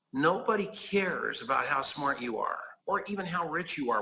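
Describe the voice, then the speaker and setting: A man speaks in a plain, everyday voice at a moderate pace. His intonation is lively. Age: 60s. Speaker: network marketer. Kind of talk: interview.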